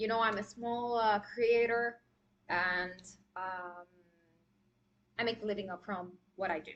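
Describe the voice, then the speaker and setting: Pitched in the middle range, a woman talks with a non-native accent. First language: not English. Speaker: makeup artist. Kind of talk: live tutorial. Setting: live stream. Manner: casual, hesitant with fillers.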